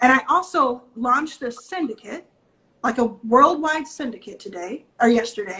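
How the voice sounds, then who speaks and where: A woman with an American accent and a high pitch speaks at a moderate pace in an animated, bright, sharp tone, with lively intonation and big swings in loudness. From Texas, Dallas. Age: 30s. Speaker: venture capitalist. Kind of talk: interview.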